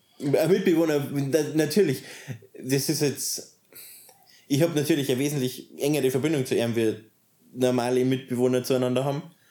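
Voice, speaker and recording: With a Bavarian accent, a man speaks at a fairly quick pace in a fairly high voice, his tone dark and mellow, with ordinary pitch variation and long, frequent pauses. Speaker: interviewee in polyamorous household. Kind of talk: interview. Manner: halting.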